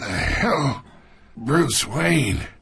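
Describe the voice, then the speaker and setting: In a put-on character voice, a man sounds raspy at a medium pitch, with very wide pitch swings. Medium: cartoon. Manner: condescending, sardonic.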